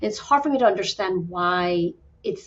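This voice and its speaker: At a moderate pace, a woman speaks with a somewhat breathy voice. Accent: American. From New York City, raised from age six. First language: Spanish. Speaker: fertility doctor. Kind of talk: podcast interview. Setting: podcast.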